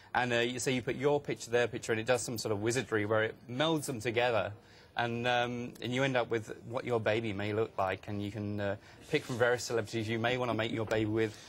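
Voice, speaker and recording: The words come out very fast. The delivery stays monotone and flat. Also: man, medium pitch for a man. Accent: English. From England, seaside town. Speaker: author and blogger. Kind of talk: TV news interview. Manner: hesitant, many fillers.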